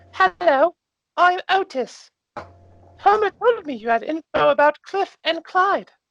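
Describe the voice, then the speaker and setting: In a put-on character voice, the speaker talks at an extremely high pitch and a fairly slow pace, with long, frequent pauses. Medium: actual play.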